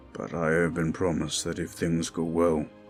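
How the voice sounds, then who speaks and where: A raspy put-on character voice at a moderate pace, flat and monotone, with clear music in the background. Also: man, very deep, low pitch for a man. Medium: audio drama. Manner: formal, restrained.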